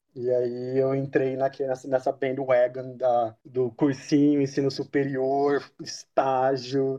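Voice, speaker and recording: With a dark, mellow tone, a man speaks very slowly in a monotone, flat way, with hardly any pauses. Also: medium pitch for a man. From interior of São Paulo state, Brazil. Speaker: diplomatic service officer. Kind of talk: podcast interview.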